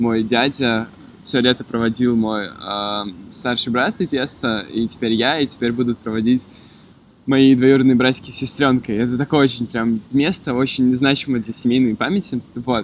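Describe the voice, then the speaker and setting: Delivery moves at a moderate speed. Its intonation stays fairly even. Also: man, medium pitch for a man. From Moscow, Russia. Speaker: podcast guest. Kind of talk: casual chat. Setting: outdoors in a city park.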